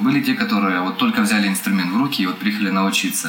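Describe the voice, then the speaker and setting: Very wide pitch swings from a man, with audible room echo and noticeable background noise. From Ukraine, Kryvyi Rih. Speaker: saxophonist. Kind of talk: casual interview chat.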